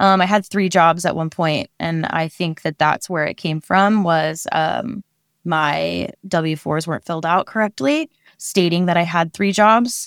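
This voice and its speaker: On a very clean recording with a silent background and a dry, close sound with no echo, a woman with an American accent speaks fairly slowly in a plain, everyday voice, pitched fairly low with ordinary pitch variation. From Oregon, US. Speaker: behavioral therapist. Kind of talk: interview. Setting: her office at work.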